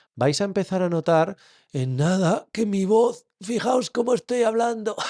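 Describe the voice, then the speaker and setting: Against a quiet background, a man uses a put-on character voice, high and strained, at a moderate pace. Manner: demonstrating a head-back posture effect.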